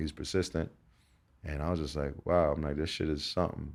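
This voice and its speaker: A man with a very deep, low pitch and a dark, mellow tone speaks with an American accent. He goes at a very fast pace with fairly even intonation. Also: very clean recording, silent background. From Newark, New Jersey. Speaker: radio DJ and host. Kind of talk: casual chat.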